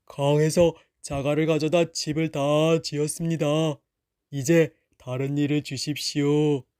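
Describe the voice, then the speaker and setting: A resonant, put-on character voice moves at a moderate pace in a monotone, flat intonation with long, frequent pauses, captured in a very clean recording with a silent background. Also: man, fairly high pitch for a man. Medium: read story. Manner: calm, formal, unbothered.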